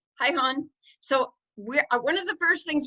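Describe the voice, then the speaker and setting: This woman's high-pitched voice is raised and projected, bright and sharp in tone, moving at a fairly quick pace with lively intonation. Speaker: dog sanctuary founder. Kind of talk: online informational meeting. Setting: video call. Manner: loud; fast.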